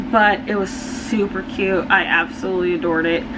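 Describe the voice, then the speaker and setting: Against noticeable background noise and audible room echo, a woman speaks at a fairly slow pace with ordinary pitch variation. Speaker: book youtuber. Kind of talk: casual book review monologue.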